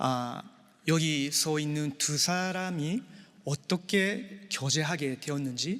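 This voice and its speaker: A man with a non-native accent, fairly high-pitched, ordinary pitch variation, very slow pace. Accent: non-native Korean, says his Korean is poor. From Japan. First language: Japanese (speaking Korean). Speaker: pastor officiating a wedding. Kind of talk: wedding sermon. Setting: church wedding ceremony with guests. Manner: halting, many filler sounds.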